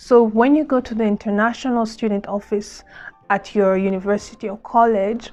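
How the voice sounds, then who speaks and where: At a moderate pace, a woman speaks with a fairly high pitch. Her intonation stays fairly even. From Democratic Republic of Congo. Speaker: vlogger, former refugee. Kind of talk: casual vlog talk to camera.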